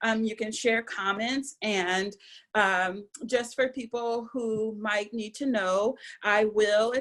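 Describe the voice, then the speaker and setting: A woman with a fairly high pitch and ordinary pitch variation uses an ordinary speaking voice. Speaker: visual and performance artist. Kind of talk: lecture. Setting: video call.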